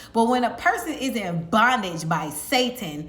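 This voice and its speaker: A woman with a fairly high pitch and lively intonation, over noticeable background noise. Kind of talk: sermon-style evangelistic message to camera. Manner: conversational, earnest, fluent with filler words.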